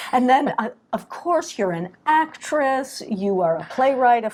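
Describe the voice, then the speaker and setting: With an American accent, a woman speaks at a very slow pace and a high pitch, her voice making very wide pitch swings. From Southern California. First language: French. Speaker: playwright. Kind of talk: interview.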